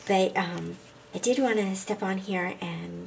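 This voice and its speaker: This woman talks at a fairly slow pace. Noticeable noise sits in the background. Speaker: scrapbooking youtuber. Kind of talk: craft tutorial. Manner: casual, many filler ums.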